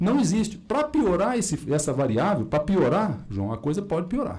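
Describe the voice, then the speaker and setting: Over music in the background and with audible room echo, a man with a slight rural Minas Gerais accent speaks fairly slowly in a high pitch and an animated tone. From Minas Gerais, Brazil. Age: 50s. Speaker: cardiologist. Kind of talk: conference talk. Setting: auditorium.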